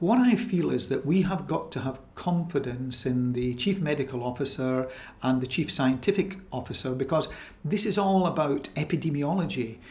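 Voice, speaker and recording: Somewhat breathy and fairly high in pitch, a man speaks at a moderate pace with lively intonation. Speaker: doctor. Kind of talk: interview answer.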